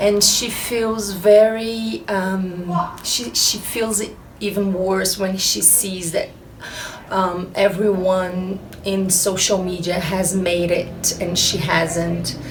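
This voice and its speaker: In a Brazilian accent, a woman speaks at a very slow pace and medium pitch with ordinary pitch variation, amid noticeable background noise and audible room echo. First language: Portuguese. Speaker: actress and producer. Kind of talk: interview. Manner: halting, many filler pauses.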